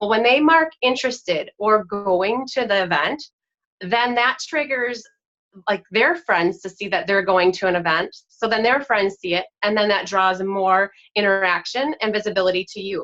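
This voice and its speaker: Enthusiastic in tone, a woman at medium pitch speaks with a bright, sharp tone and lively intonation. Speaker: direct sales team leader. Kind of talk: presentation. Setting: video recording at home. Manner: fast.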